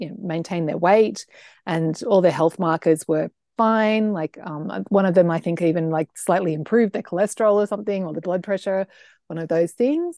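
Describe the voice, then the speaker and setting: Recorded dry and close with no echo against a quiet background, a woman with an Australian accent speaks at a fairly quick pace in a dark, mellow tone, medium-pitched with ordinary pitch variation. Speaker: food blogger and health coach. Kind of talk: interview.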